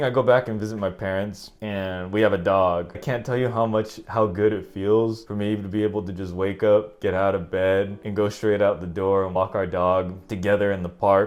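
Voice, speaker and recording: Speaking with a Northern California accent, a man of fairly low pitch keeps a moderate pace. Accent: Northern California American English. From San Francisco Bay Area, California, USA. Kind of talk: casual talk to camera.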